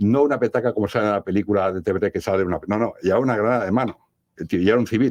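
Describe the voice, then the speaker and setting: At a very fast pace, a man speaks with fairly low pitch and ordinary pitch variation in a dry, close sound with no echo and a quiet background. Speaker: paranormal investigator. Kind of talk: radio interview. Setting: radio studio.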